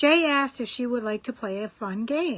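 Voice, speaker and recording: A woman's fairly high voice with a Rochester accent against a quiet background. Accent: northern Rochester. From Rochester area, northern US. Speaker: friend sending jokes. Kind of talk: joke telling.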